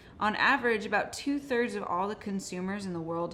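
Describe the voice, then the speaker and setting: The voice has a Californian accent and ordinary pitch variation. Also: woman. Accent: General American (Californian). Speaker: marketing manager, webinar co-host. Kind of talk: webinar presentation.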